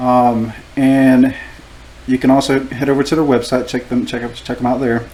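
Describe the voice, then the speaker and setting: Against noticeable background noise, a man speaks at medium pitch and moderate pace with monotone, flat intonation. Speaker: tattoo artist and show host. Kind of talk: casual chat.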